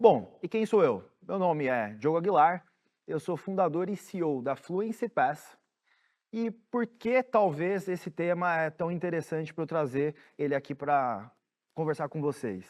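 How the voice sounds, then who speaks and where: A man with an unremarkable speaking voice talks fairly slowly at a fairly high pitch with lively intonation over a quiet background. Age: 30s. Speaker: startup founder and CEO. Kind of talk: conference talk.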